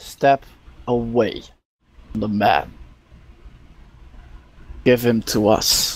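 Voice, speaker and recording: Using a put-on character voice, a man with medium pitch talks at a very slow pace with long, frequent pauses. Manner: commanding.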